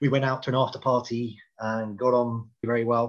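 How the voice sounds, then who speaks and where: A man speaks with a British accent. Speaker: HR publication editor and event co-founder. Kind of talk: podcast interview.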